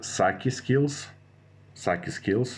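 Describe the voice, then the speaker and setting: The speaker is a man. He has a non-native accent. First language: not English. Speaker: gaming strategy youtuber. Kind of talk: tutorial. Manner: halting, many fillers and restarts.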